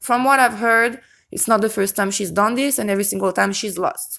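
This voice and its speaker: The recording is very clean with a silent background. A woman with a non-native accent talks at medium pitch with ordinary pitch variation. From Europe. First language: non-English European language. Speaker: YouTube true-crime commentator. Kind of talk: casual vlog commentary. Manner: occasional stutter on certain words; hesitant, frequent self-corrections.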